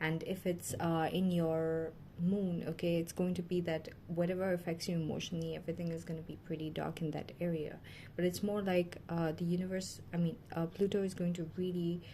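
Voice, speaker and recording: A woman talks at a fairly quick pace with a fairly low pitch, a dark, mellow tone, somewhat breathy delivery and monotone, flat intonation. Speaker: tarot reader. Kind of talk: tarot reading monologue. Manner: fast; hesitant, many fillers.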